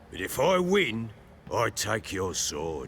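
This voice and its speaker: A man puts on a raspy character voice at a medium pitch, with very wide pitch swings. His pace is fairly slow, and background noise is clearly heard. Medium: video game. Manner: gruff, blunt.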